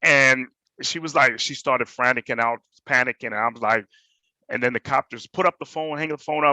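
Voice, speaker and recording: Speaking with a Jamaican accent, a man uses a bright, sharp tone at medium pitch and moderate pace, his intonation fairly even, in a dry, close sound with no echo. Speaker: panelist, hospitality manager. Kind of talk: personal testimony on panel.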